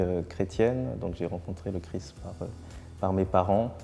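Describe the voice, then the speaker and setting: A man's very deep, low voice at a fairly slow pace, with music in the background. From Martinique. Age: 30s. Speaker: newly ordained priest. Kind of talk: testimony. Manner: halting, many hesitations.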